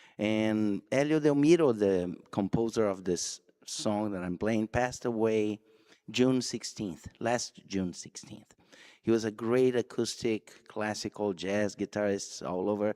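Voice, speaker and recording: A man with a Brazilian Portuguese accent and a dark, mellow tone at a fairly low pitch, with ordinary pitch variation and a fairly slow pace, on a very clean recording with a silent background and a dry, close sound with no echo. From Brazil, Rio de Janeiro. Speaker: guitarist. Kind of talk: spoken introduction at concert. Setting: church concert with audience.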